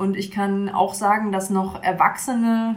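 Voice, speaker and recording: A woman's somewhat breathy voice at medium pitch, with fairly even intonation and audible room echo. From Mecklenburg, northeastern Germany (Bad Doberan). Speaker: church youth worker. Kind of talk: interview. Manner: hesitant, many fillers.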